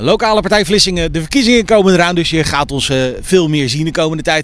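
A man's high-pitched voice at a very fast pace, with ordinary pitch variation and a dry sound with no echo. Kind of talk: casual vlog chat. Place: street. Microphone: handheld.

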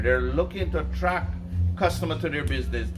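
A man's voice with clear music in the background. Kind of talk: interview answer. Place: garden. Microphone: camera far.

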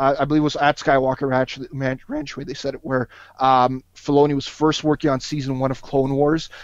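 Against a quiet background, a man speaks at a fairly quick pace in a monotone, flat intonation, with a dry sound and no echo. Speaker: podcast guest. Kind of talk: casual podcast discussion. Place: home room. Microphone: headset.

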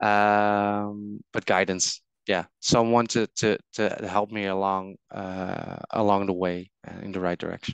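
A man speaks at a low pitch and a fairly slow pace, with little pitch movement. His tone is clear and smooth with vocal fry, in a dry, close sound with no echo.

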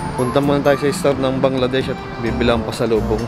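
The man talks fairly quickly. Music blares loudly behind him. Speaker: travel vlogger. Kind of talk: casual vlog chat. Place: street. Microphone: phone near.

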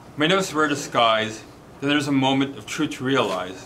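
A man with a fairly high pitch over light background noise. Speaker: poet. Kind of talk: poetry reading, rhymed verse.

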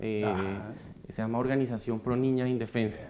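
Light background noise sits behind a man talking at a fairly quick pace with fairly even intonation. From Bogotá, Colombia. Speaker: foundation president, economist; interview guest. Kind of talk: interview. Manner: hesitant, many fillers. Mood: warm, reflective. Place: studio. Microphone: lapel.

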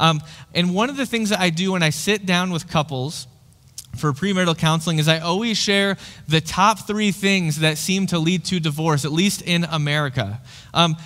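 A man's bright, sharp tone at a moderate pace, with ordinary pitch variation. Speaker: pastor. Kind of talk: sermon. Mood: light, friendly, humorous. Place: church. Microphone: headset.

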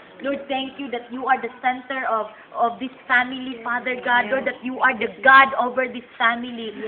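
A woman talks at a moderate pace with hardly any pauses, in a high pitch. Her intonation is monotone and flat, and background noise is noticeable. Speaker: missionary prayer leader. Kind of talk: fervent group prayer, intercessory. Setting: in person with a group, Philippines. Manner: fervent, repetitive invocations of Lord and Father God, earnest, rhythmic. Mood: earnest, fervent. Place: garden. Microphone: camera far.

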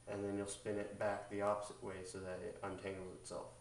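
A man's fairly low-pitched voice at a moderate pace, with audible room echo. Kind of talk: tutorial. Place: home room. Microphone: camera far.

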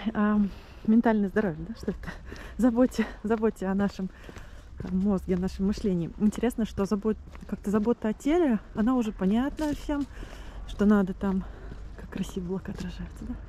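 Somewhat breathy and dark and mellow in tone, a woman speaks at a moderate pace and medium pitch with ordinary pitch variation and long, frequent pauses. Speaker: vlogger. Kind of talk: video diary monologue. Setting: outdoors, walking to the sea. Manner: halting, with fillers and restarts.

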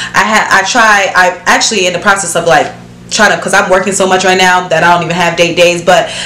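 A woman talks at a very fast pace in a monotone, flat delivery. There is light background noise and audible room echo. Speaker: vlogger. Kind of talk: casual vlog chat. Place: home room.

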